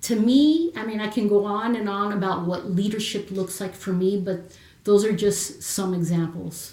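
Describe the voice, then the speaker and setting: A woman with a medium pitch and ordinary pitch variation talks at a moderate pace against noticeable background noise. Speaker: Marine Corps veteran and confidence coach. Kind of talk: casual chat. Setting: live video stream.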